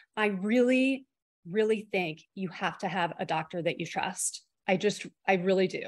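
This woman has a normal speaking voice, medium in pitch with ordinary variation. She talks at a moderate pace against a quiet background. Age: 50s. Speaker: professor of education and migraine patient. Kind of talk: interview, personal testimony.

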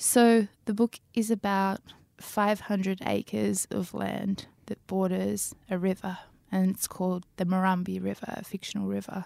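A woman with an Australian accent at a fairly slow pace, dry and close with no echo, on a very clean recording with a silent background. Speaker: novelist. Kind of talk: interview.

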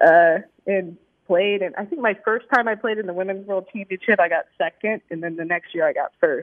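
At a moderate pace, a woman uses a normal speaking voice with medium pitch and fairly even intonation. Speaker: pinball player. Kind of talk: casual interview chat.

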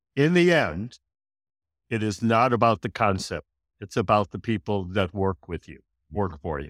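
In an unremarkable speaking voice, a man with an American accent talks at a moderate pace with fairly low pitch and lively intonation, on a very clean recording with a silent background and a dry, close sound with no echo. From US Midwest. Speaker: restaurateur. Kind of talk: casual interview.

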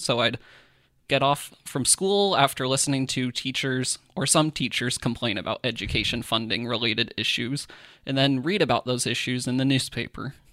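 In a very clean recording with a silent background, a man with a US Midwestern accent talks at a moderate pace in a bright, sharp tone. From Kansas (Iola). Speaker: political reporter and podcast co-host. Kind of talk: casual chat and news explainer.

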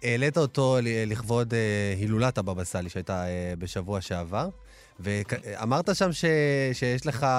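A man speaks in a plain, everyday voice at medium pitch, with lively intonation and a fairly slow pace. The recording is very clean, with a silent background. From Israel, Ashdod. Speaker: radio host. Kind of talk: radio talk show. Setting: radio studio, also broadcast live on TV.

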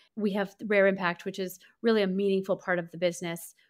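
At a very fast pace, a woman speaks at medium pitch in a monotone, flat intonation. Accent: American. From US Midwest, St. Louis, Missouri. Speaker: beauty brand marketing executive. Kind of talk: interview conversation.

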